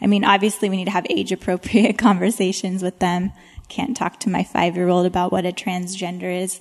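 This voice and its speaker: The speaker moves at a fairly quick pace. The intonation stays monotone and flat. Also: woman, medium pitch for a woman. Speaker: panelist, homeschooling working mom. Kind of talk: panel Q&A.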